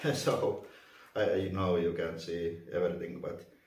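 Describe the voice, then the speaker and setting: A man talks at a fairly slow pace. His voice carries audible room echo. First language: not English. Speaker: vacuum reviewer. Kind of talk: unboxing tutorial. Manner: halting, many fillers.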